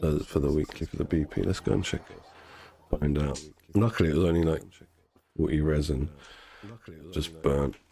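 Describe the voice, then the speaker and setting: A man with a very deep, low pitch, long and frequent pauses, and noticeable background noise. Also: fairly even intonation, moderate pace. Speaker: game streamer. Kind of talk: live game stream chat.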